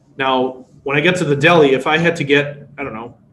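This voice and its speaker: With a Chicago accent, a man speaks in a fairly high voice with fairly even intonation, and audible room echo surrounds him. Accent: American, Chicago. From US, Chicago, Polish immigrant family. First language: Polish. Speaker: workshop instructor. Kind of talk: online workshop lecture. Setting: webinar.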